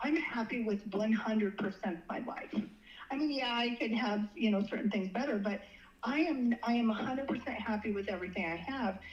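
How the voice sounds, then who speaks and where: Over noticeable background noise, a woman with a fairly high pitch speaks with ordinary pitch variation. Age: 60s. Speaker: dating guest sharing experiences. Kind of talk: casual interview. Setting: phone call. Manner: halting with repetitions.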